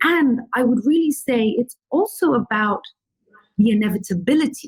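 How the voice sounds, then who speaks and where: A woman talks at a moderate pace in a somewhat breathy voice with lively intonation. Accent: British. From London, England. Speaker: filmmaker. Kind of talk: interview answer.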